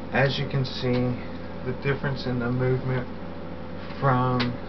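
Noticeable background noise runs under the clip. Over it, a man talks at a very slow pace. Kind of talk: personal video diary explanation. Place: home room. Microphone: webcam.

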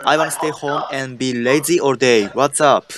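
Fairly even intonation in a Japanese accent, dry sound with no echo, and noticeable background noise. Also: man. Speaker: English learner. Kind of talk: language lesson; language lesson answers. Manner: halting. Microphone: video call.

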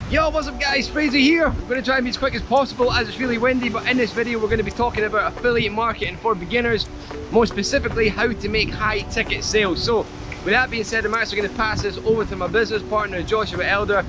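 Raising and projecting his voice, a man talks at a very fast pace with ordinary pitch variation, the sound dry with no echo and clear music playing in the background. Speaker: online business vlogger. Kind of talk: casual vlog chat. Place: beach. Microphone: phone near.

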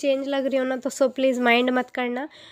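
Her voice high in pitch, a woman talks at a fairly slow pace. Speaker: vlogger. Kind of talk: casual vlog narration. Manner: hesitant, many fillers.

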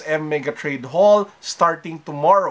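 Lively intonation marks this man's bright, sharp voice. He speaks at a fairly slow pace. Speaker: sneaker and tech vlogger. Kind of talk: casual vlog. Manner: less lively than usual.

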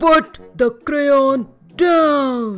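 A female-sounding voice does a put-on character voice while music plays in the background. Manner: growling.

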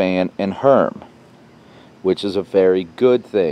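The sound is dry with no echo as a man speaks with ordinary pitch variation. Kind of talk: tutorial. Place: garden. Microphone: camera far.

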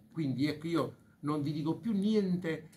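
A man with an ordinary speaking voice talks at a moderate pace in a fairly high pitch, with ordinary pitch variation and light background noise. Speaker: bank president. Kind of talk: press conference speech. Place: meeting room.

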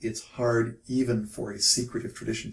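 Light background noise sits behind a man's voice. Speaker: interviewee. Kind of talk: interview answer.

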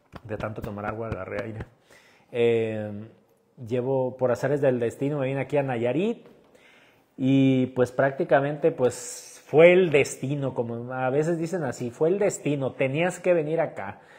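Against a quiet background, a man speaks at a fairly slow pace and medium pitch with ordinary pitch variation. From Mexico, Chiapas (Tuxtla Gutiérrez); Chiapas, Mexico. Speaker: street food content creator. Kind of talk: livestream chat reading viewer comments. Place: home room. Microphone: lapel.

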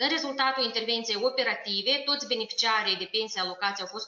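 Over noticeable background noise, a woman speaks at a fairly quick pace with a fairly high pitch and ordinary pitch variation. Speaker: health and social protection minister. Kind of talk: formal briefing.

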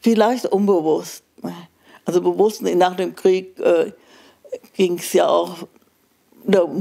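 At a very slow pace, a woman speaks at medium pitch in a dark, mellow tone over a quiet background. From Germany, Münster; Germany. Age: old. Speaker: Holocaust survivor; witness. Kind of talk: interview answer. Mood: calm, reflective, somber. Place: home room. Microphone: handheld.

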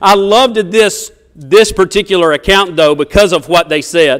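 Against a quiet background, a man with an American accent speaks at a high pitch with ordinary pitch variation. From US South. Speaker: preacher. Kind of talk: sermon. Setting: church. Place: church.

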